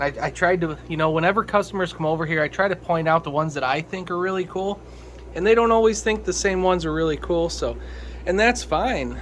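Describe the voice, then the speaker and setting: The delivery is very fast, with ordinary pitch variation. There is noticeable background noise. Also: man, high pitch for a man. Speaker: fish breeder and hobbyist video host. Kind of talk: casual video tour. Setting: home fish basement. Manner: casual, with many fillers.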